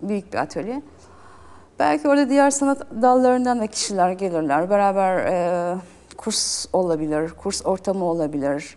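A woman speaks in a dark, mellow tone. Her pitch swings very widely. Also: medium pitch for a woman, moderate pace. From Turkey, İzmir. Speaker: painter. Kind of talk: interview.

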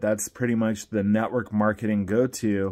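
A dark, mellow tone with fairly even intonation against a quiet background. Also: man. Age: 50s. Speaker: network marketing promoter. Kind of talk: vlog monologue. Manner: casual, with frequent repetitions. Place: home room. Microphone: phone near.

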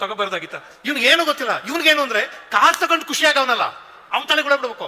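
A raised, projected voice with ordinary pitch variation comes through over noticeable background noise. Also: man. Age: 60s. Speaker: professor and public speaker. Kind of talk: speech at a religious festival. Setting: stage with large audience.

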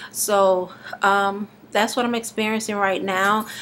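The voice moves at a very slow pace over light background noise. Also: woman. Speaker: vlogger doing a raw food detox challenge. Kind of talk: casual video blog, talking to camera. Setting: self-recorded video at home. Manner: halting, with many fillers and pauses; slightly slurred, struggling to get words out. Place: home room. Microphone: webcam.

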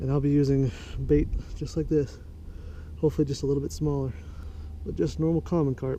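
Light background noise sits under a man's voice. His moderate pace comes through in a dry sound with no echo. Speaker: angler vlogger. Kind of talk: casual fishing vlog commentary. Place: waterside. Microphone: phone near.

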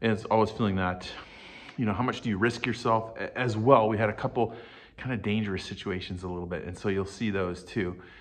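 With a normal speaking voice, a man talks at a fairly low pitch and with fairly even intonation. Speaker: channel host. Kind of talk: casual vlog chat. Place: home room. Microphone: phone near.

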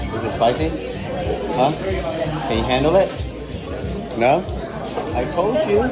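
Loud music plays behind a man who speaks at a fairly slow pace. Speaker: food vlogger. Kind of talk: casual vlog chat. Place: cafe. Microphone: phone near.

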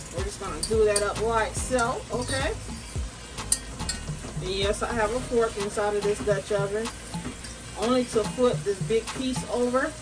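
Clear music in the background behind a woman at a moderate pace, with long, frequent pauses. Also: ordinary pitch variation. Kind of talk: casual cooking tutorial. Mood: upbeat, playful. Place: kitchen. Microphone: camera far.

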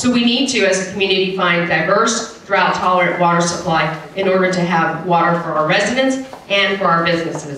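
Someone with an American accent speaks amid light background noise, with audible room echo. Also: woman. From Texas. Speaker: city council member and candidate. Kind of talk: candidate debate speech. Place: hall.

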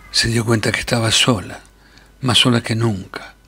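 A man speaks at a fairly slow pace in a fairly low voice, with noticeable noise behind him. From Argentina. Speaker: actor. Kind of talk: short story reading.

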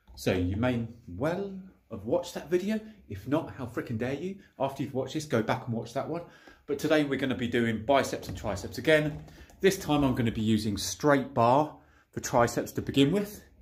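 A man talks at a fairly quick pace, somewhat breathy, with lively intonation. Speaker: home gym vlogger. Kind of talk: casual vlog chat. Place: garage. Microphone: phone near.

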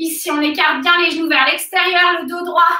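With a bright, sharp tone, the raised, projected voice goes at a fairly slow pace amid audible room echo. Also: woman. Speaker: fitness coach. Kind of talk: workout instruction. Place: gym. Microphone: camera far.

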